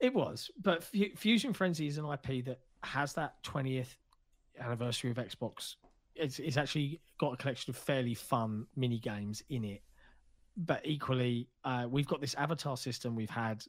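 On a very clean recording with a silent background, a man with a British accent speaks at a moderate pace in a medium pitch, his pitch varying in an ordinary way. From Britain. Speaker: video game podcast co-host. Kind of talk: casual chat.

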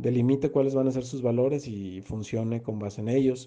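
Here a man's dark, mellow tone sits at a medium pitch with fairly even intonation. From Mexico, Guadalajara. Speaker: sports journalist and commentator. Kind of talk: interview.

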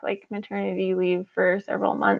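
A woman speaks in an American accent. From New Mexico. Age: 30s. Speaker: former missionary and mother. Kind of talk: casual chat.

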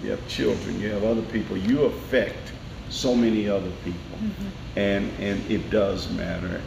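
A man with an American accent and fairly low pitch, with audible room echo and noticeable background noise. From US South, Nashville, Tennessee. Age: 60s. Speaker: elected court official. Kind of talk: interview.

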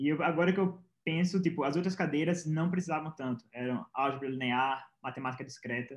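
A man's fairly high, fairly quick delivery with ordinary pitch variation, a normal speaking voice. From Pernambuco, Brazil. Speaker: software engineer, former programming competitor. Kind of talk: interview.

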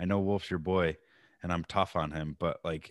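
A man speaks in a very clean recording with a silent background. The sound is dry and close, with no echo. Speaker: golf podcast host. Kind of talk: casual chat.

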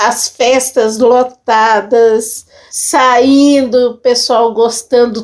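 A woman speaks very slowly in a high pitch. Her intonation is flat and monotone. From Belo Horizonte, Brazil. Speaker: community cook. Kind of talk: interview.

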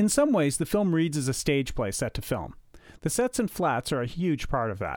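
In a very clean recording with a silent background, a man with a Canadian accent speaks at a moderate pace, his fairly high pitch swinging very widely. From Canada, Ottawa Valley, Ontario. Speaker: podcast host, film enthusiast. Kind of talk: scripted narration.

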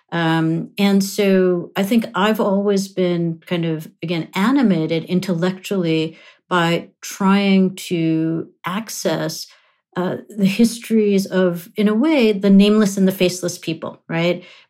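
A woman's medium-pitched voice with an American accent, fairly slow and fairly even in intonation, on a very clean recording with a silent background. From grew up in London and New York, Punjabi-speaking household. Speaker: history professor. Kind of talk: academic interview. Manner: hesitant fillers, self-repeating.

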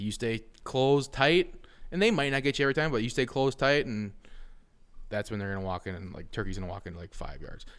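With an American accent and a plain, everyday voice, a man talks at a fairly quick pace, his intonation lively and his loudness swinging widely. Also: medium pitch for a man. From Wisconsin. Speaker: hunting podcast host. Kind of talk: casual chat.

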